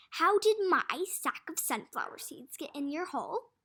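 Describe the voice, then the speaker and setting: A woman puts on a character voice at an extremely high pitch, raised and projected. She keeps a moderate pace on a very clean recording with a silent background. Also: lively intonation. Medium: read story. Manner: sarcastic, mocking.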